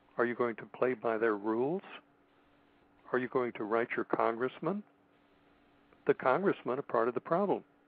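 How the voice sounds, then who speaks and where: A man's medium-pitched voice with an American accent, lively intonation and a moderate pace. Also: long, frequent pauses. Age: 60s. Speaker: radio show guest, political commentator. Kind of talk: radio interview.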